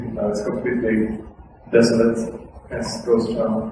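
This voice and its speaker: Against noticeable background noise and audible room echo, a man talks with lively intonation at a medium pitch. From Sweden. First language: Swedish. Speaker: activist speaker. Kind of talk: lecture. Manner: casual.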